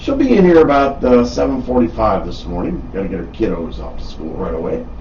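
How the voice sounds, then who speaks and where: A man with an Upper Midwest accent is heard with audible room echo and noticeable background noise. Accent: Upper Midwest American. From Wisconsin, Milwaukee. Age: 60s. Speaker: radio host. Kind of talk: casual chat. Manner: animated.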